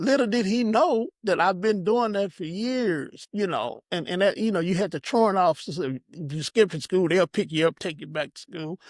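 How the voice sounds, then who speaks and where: A man speaks at a high pitch with lively intonation. The sound is dry and close with no echo, a very clean recording with a silent background. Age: 60s. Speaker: minister and prison addiction counselor. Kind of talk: testimony. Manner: halting, repeats words.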